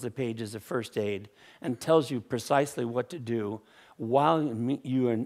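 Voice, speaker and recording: The recording is very clean with a silent background. A man speaks in an ordinary speaking voice at a moderate pace. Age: 60s. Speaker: inventor. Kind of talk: conference talk.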